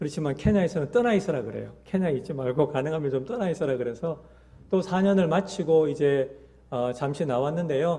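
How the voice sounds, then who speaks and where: A man speaks fairly quickly in a dark, mellow, somewhat breathy tone. His pitch varies in an ordinary way. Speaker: missionary. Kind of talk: mission report in church service. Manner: hesitant with many fillers.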